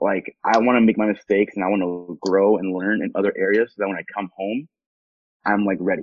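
A man with an unremarkable speaking voice, a fairly low pitch and an American accent speaks at a fairly quick pace with fairly even intonation. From Southern California, Costa Mesa. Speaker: city council member. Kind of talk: interview. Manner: casual.

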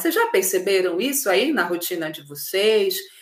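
A woman speaks at a medium pitch. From Belém do Pará, northern Brazil. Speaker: emotional clarity facilitator, livestream host. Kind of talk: live-streamed workshop talk to viewers. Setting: live video stream. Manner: animated.

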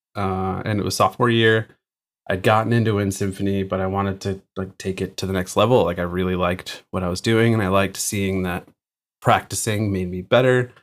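In a very clean recording with a silent background, a man with an American accent talks at a fairly quick pace in a monotone, flat intonation. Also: fairly low pitch for a man. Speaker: recording engineer and drummer. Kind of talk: interview conversation.

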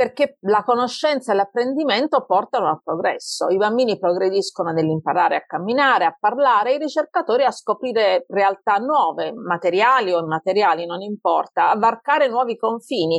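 Talking at a fairly quick pace with hardly any pauses, a woman with a strong Apulian accent uses lively intonation at a fairly high pitch. The sound is dry and close, with no echo. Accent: Taranto accent, kept strong. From Taranto, southern Italy. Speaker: computer scientist, researcher. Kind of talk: interview conversation.

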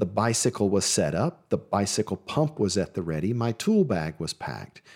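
At a moderate pace, this voice with vocal fry moves through very wide pitch swings, recorded dry and close with no echo and a very clean, silent background. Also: man. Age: 50s. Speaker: registered nurse and weight loss podcast host. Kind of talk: solo podcast monologue, motivational talk. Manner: encouraging, conversational.

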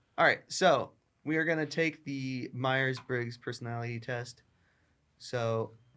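Recorded very cleanly against a silent background, a man with a bright, sharp tone talks at medium pitch and a fairly slow pace. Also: fairly even intonation. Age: 20s. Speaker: student podcast host. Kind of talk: casual chat. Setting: studio.

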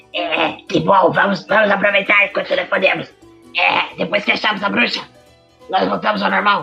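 Over faint music in the background, a man uses a put-on character voice with a high pitch. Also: moderate pace. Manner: cheerful, rambling.

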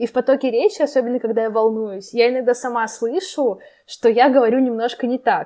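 A woman's high-pitched voice with a dark, mellow tone, ordinary pitch variation and a fairly quick pace. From Arkhangelsk, northern Russia. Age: 20s. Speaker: university student. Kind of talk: casual interview.

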